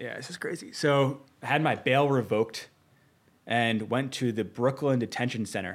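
Here is a man in a normal speaking voice at medium pitch. His pace is moderate, and his pitch varies in an ordinary way. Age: 30s. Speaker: entrepreneur. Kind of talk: casual chat.

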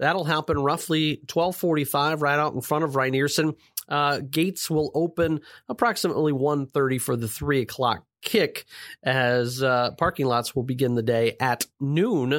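A man uses a normal speaking voice at a fairly high pitch and moderate pace, with ordinary pitch variation and very even loudness. The recording is very clean with a silent background and a dry, close sound with no echo. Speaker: podcast co-host. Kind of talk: sports podcast chat.

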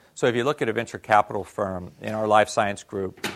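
A man's fairly low, fairly quick delivery in a normal speaking voice, on a very clean recording with a silent background. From US Northeast. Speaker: venture capitalist. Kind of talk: lecture. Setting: stage with audience.

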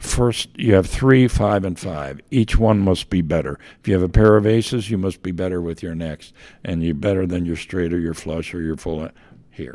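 Someone with an American accent speaks in a dark, mellow tone at a moderate pace with big swings in loudness, in a very clean recording with a silent background. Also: man, very deep, low pitch for a man, ordinary pitch variation. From Pennsylvania (Myerstown, Lebanon County). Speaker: retired college soccer coach. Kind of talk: interview. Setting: studio, in person.

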